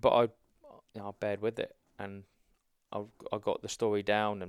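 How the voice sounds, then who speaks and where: With a southern English accent, a man speaks in a fairly low, monotone voice with flat intonation at a moderate pace, the sound dry and close with no echo. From southern England (Hampshire). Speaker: army veteran. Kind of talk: casual chat.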